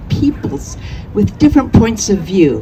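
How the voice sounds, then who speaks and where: A woman talks at a moderate pace. Noticeable background noise is present. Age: 70s. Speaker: artist and activist speaker. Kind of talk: public speech at a rally.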